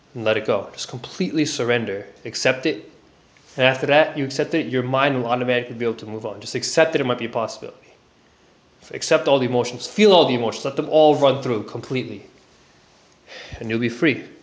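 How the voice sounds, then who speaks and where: Over noticeable background noise, a man speaks at a very fast pace with a medium pitch and ordinary pitch variation. Long, frequent pauses break up his speech. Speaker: self-help vlogger sharing personal experience. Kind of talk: personal testimony and advice monologue. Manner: mumbling; hesitant, many fillers.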